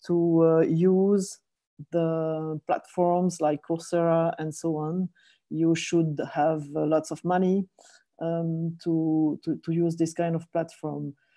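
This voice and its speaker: With a French accent, a woman speaks at a very slow pace in a dark, mellow tone and fairly low pitch, her intonation monotone and flat, the sound dry and close with no echo over a quiet background. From French-speaking Switzerland. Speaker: professor. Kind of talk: conference presentation. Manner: halting, many fillers.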